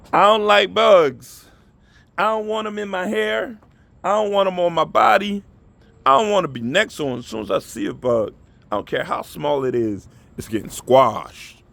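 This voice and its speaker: This man has a high pitch and an animated tone, talking at a moderate pace with very wide pitch swings. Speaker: vlogger. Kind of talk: motivational monologue.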